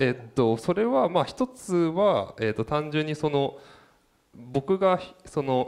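A plain, everyday voice: a man with fairly high pitch, lively intonation and a fairly slow pace. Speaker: designer. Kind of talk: casual chat.

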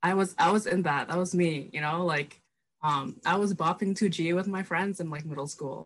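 At a moderate pace, a woman with a normal speaking voice talks at a fairly low pitch with ordinary pitch variation. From Minneapolis, US (moved from Indonesia at age 8). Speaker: recent university graduate. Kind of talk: casual chat.

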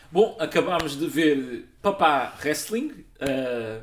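The speaker has a European Portuguese accent, and there is noticeable background noise. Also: man. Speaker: film podcast host. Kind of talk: casual chat.

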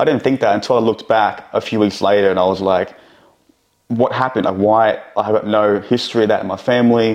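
The speaker has a plain, everyday voice and a fairly quick pace. The intonation stays fairly even. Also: man, fairly low pitch for a man. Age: 20s. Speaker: entrepreneur. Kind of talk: casual interview chat.

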